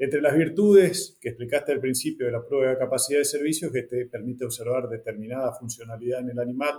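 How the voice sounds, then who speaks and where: A man at a medium pitch rattles along at a very fast pace with hardly any pauses. His pitch varies in an ordinary way. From northern Argentina. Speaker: podcast host. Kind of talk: interview.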